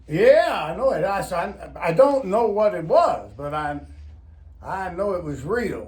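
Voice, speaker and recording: Noticeable background noise sits under a man's high-pitched voice and lively intonation. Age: old. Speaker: retired pastor and hunter. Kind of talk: interview answer, storytelling. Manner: folksy, rambling.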